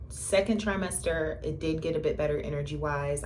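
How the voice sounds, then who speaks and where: Recorded with audible room echo and noticeable background noise, a woman speaks at a moderate pace. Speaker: vlogger. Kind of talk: casual vlog storytelling. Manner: chatty, many fillers.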